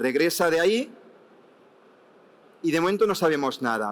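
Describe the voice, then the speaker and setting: The man's pitch sits fairly high. He talks with lively intonation. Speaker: technical association expert panelist. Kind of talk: panel discussion answer. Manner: fast.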